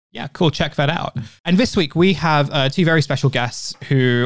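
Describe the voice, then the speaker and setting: A man speaks quickly in an unremarkable speaking voice, with fairly even intonation, on a very clean recording with a silent background. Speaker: podcast host. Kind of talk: casual interview chat.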